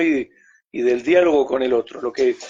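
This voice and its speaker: This man talks at a high pitch with ordinary pitch variation. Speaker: theatre researcher. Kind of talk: interview. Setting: video call.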